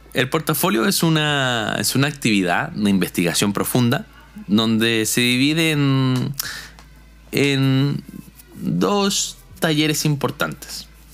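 Over music in the background, a man with a Chilean accent speaks very slowly at medium pitch, his loudness very even and his intonation lively. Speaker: logistics graduate and musician. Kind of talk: casual testimony.

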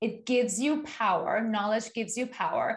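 Somewhat breathy and fairly high-pitched, a woman talks at a fairly quick pace with ordinary pitch variation over a quiet background. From Iran. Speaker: podcast host. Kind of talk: show outro; interview.

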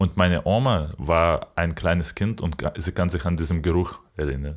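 A man talks at a very slow pace in a very deep, low pitch, with vocal fry and ordinary pitch variation. The recording is very clean, with a silent background. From Ukraine, Kyiv region. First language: Ukrainian or Russian (speaking German). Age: 20s. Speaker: podcast co-host. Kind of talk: casual chat.

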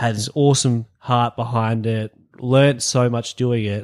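On a very clean recording with a silent background, a man with an Australian accent speaks at a medium pitch with fairly even intonation. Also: dry, close sound with no echo. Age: 20s. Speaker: podcast host. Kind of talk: casual chat.

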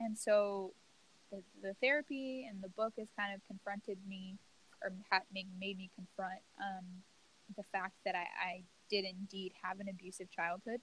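This woman has an unremarkable speaking voice at medium pitch with an American accent. Her pace is moderate and her intonation fairly even. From US South, Louisiana. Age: 20s. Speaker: podcast host. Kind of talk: casual interview.

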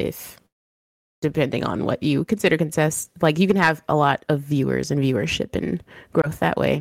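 Vocal fry runs through speech at a moderate pace in a very clean recording with a silent background. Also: woman. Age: 30s. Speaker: streamer and mother. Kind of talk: interview.

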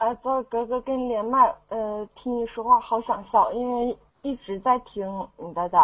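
Speaking at a fairly slow pace, a woman with a high pitch uses ordinary pitch variation and big swings in loudness. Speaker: student. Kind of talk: casual chat. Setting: online voice chat room. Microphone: blowing into mic, mic problems.

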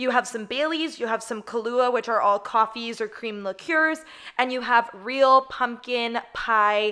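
Loud and animated, a woman speaks in a bright, sharp tone. Her pitch is fairly high, with ordinary variation. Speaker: podcast host. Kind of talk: casual chat.

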